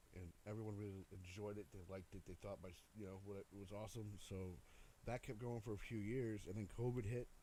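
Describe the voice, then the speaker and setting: A quiet, somewhat breathy man's voice, dark and mellow in tone, fairly low in pitch, with fairly even intonation and a fairly quick pace. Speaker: DJ. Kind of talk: casual chat. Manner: halting.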